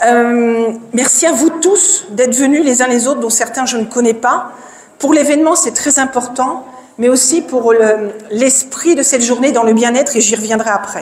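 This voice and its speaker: A woman speaks at a fairly slow pace in a high voice with ordinary pitch variation, with audible room echo and noticeable background noise. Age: 50s. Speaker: profiler and speaker. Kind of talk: conference talk. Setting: stage with audience. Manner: loud.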